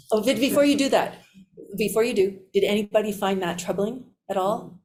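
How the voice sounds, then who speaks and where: Fairly quick and somewhat breathy, a woman speaks at a fairly high pitch. Her pitch varies in an ordinary way. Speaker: physician and resilience trainer. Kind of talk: workshop debrief.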